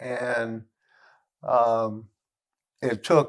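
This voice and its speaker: A very clean recording with a silent background captures a man speaking. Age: 60s. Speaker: injured patient, former chef. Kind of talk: interview testimony. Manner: halting, many fillers.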